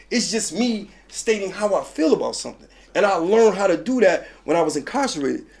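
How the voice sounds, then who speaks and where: With a New York accent, a man talks at a fairly quick pace in a high pitch, his tone animated and intonation lively. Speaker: former prisoner, mentor and street advocate. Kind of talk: interview. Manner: raised voice.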